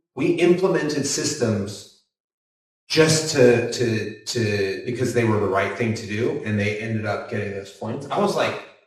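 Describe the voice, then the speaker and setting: Fairly slow speech from a man at a medium pitch, with lively intonation and audible room echo. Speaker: builder running a B Corp construction business. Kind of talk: panel discussion. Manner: animated.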